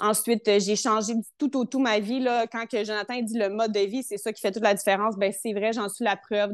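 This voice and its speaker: This woman speaks with a Quebec accent at a moderate pace, her fairly high pitch held in fairly even intonation. The sound is dry and close with no echo, over a quiet background. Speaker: health testimonial guest. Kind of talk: personal testimony.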